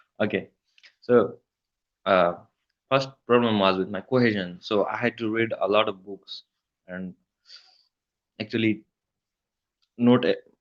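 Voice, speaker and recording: Fairly slow and marked by long, frequent pauses, the speech comes in a Nepali accent with fairly even intonation and big swings in loudness. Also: man, fairly low pitch for a man. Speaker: email copywriter. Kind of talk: interview.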